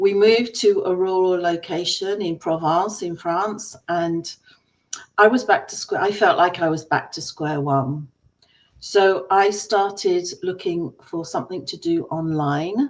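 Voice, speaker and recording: A woman with an English accent at a fairly slow pace. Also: medium pitch for a woman, ordinary pitch variation. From England. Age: 60s. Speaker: business coach. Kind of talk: personal story.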